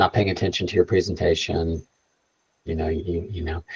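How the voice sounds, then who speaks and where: A somewhat breathy voice comes through against a quiet background. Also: man. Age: 60s. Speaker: space tech entrepreneur and guest speaker. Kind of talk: bootcamp Q&A talk. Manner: soft-spoken; casual, halting with fillers.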